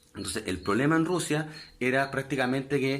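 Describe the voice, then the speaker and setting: At a moderate pace, a man's voice rings with audible room echo. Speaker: history teacher. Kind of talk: online lecture.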